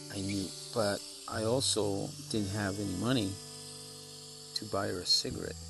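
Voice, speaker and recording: With music in the background and audible room echo, a man talks in a fairly low pitch. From Mexico, small town. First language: Spanish. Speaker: storyteller. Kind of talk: personal storytelling. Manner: halting, many fillers.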